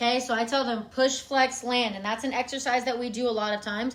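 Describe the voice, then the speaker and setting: A woman speaks at a very fast pace in a raised, projected voice, high in pitch. Her tone is bright and sharp, and her intonation fairly even. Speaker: marching band fundamentals coach. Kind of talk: live-stream tutorial. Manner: casual, chatty.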